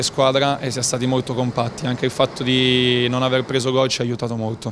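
A man's medium-pitched voice at a fairly quick pace over light background noise. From northern Italy, Novara (Piedmont); Piedmont, Italy. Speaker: professional football goalkeeper. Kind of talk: post-match interview. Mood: calm, measured. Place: hall. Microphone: handheld.

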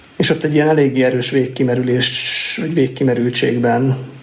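Noticeable background noise surrounds a man speaking at a medium pitch and a moderate pace. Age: 30s. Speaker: agile coach. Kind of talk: casual chat. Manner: halting.

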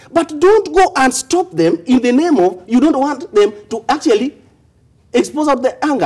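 At a moderate pace and high pitch, a man speaks over a quiet background. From Kenya. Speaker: political commentator. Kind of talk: heated debate. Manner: animated. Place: studio. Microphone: lapel.

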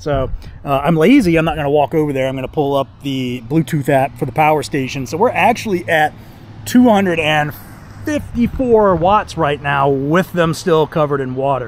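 Over light background noise, a man speaks at a moderate pace with lively intonation, in a dry sound with no echo. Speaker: gear reviewer. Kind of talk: casual vlog chat. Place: garden. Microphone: phone near.

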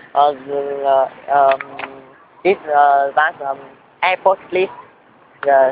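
Against noticeable background noise, the speech goes at a very slow pace with long, frequent pauses. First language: Vietnamese. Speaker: English learner interviewing tourists. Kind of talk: casual interview. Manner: halting.

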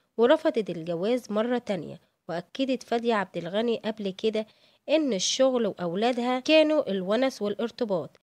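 In an Egyptian accent, a woman speaks at a fairly slow pace with fairly high pitch and lively intonation, the sound dry and close with no echo. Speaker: celebrity news narrator. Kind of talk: scripted narration.

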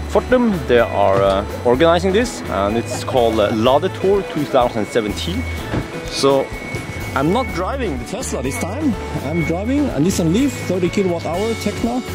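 Loud music plays behind a man speaking at a fairly slow pace. The sound is dry, with no echo. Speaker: car vlogger. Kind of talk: casual vlog chat. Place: street. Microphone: phone near.

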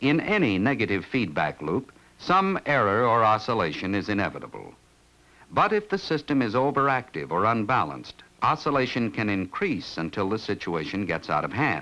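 Vocal fry runs through a man's voice as he speaks at a moderate pace with very wide pitch swings. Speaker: film narrator. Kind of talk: documentary narration. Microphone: old recording.

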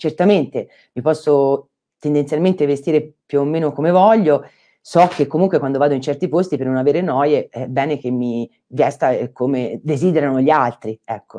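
A woman with a very deep, low, dark and mellow voice, moderate pace, ordinary pitch variation and a quiet background. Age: 50s. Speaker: architect and doctoral researcher giving a talk; invited lecturer. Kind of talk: online lecture. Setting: online conference. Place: home room. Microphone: earbuds.

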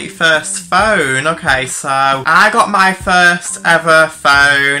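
A very slow pace over light background noise. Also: man. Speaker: video creator. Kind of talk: casual vlog chat. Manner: sleepy, yawning reading voice. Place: home room. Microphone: phone near.

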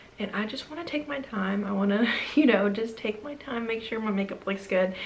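A woman's medium-pitched voice with vocal fry, ordinary pitch variation and a fairly quick pace, amid audible room echo

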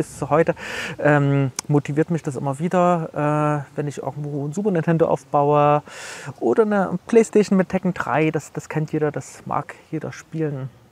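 This man has an unremarkable speaking voice at a fairly high pitch with ordinary pitch variation. He talks at a moderate pace in a dry, close sound with no echo. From Leipzig, eastern Germany. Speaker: author and computer history collector. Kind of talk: casual interview. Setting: outdoors in front of a cultural hall.

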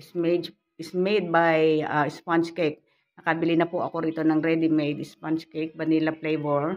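A woman talks fairly quickly in a very deep, low pitch with monotone, flat intonation. Her loudness swings widely. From Philippines. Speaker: vlogger; home vlogger. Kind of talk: casual vlog. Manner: halting. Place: home room. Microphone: phone near.

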